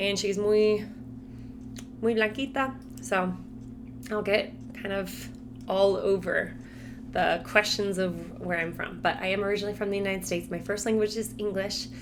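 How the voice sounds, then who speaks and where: A woman with an American accent speaks at medium pitch and a moderate pace, with lively intonation and vocal fry. Long, frequent pauses break her speech, and room echo is audible. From Colorado, US. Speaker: Spanish teacher. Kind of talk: casual vlog talk to camera.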